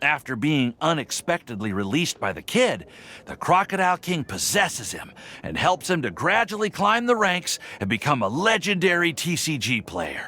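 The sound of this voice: This is a put-on character voice with a bright, sharp tone. It moves at a moderate pace with few pauses and big pitch swings. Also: man, fairly high pitch for a man.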